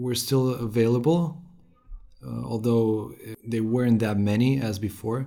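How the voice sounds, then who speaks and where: Over noticeable background noise, a man speaks at a fairly slow pace with long, frequent pauses. His medium pitch shows ordinary variation. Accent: Romanian. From Romania. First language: Romanian. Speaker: financial manager. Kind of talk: interview. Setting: in person.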